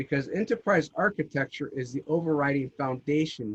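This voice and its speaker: His pitch is fairly high and his intonation lively as this man talks at a fairly quick pace. The sound is dry and close, with no echo. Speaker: GIS consultant presenter. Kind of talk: conference presentation. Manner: loud, projected voice.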